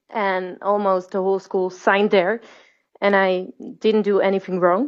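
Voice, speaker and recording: With a Dutch accent, a woman of medium pitch speaks at a moderate pace in a monotone, flat way. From Netherlands. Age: 20s. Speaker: singer. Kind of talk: interview.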